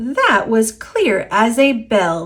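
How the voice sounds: A woman uses a put-on character voice with a fairly high pitch, big pitch swings and a fairly bright tone, speaking at a very slow pace.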